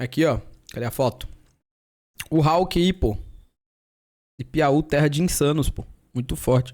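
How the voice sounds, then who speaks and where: A man talks in a fairly high pitch at a fairly slow pace, with ordinary pitch variation and long, frequent pauses. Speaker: streamer reacting to videos. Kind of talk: casual chat. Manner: calmer, shouts less than before.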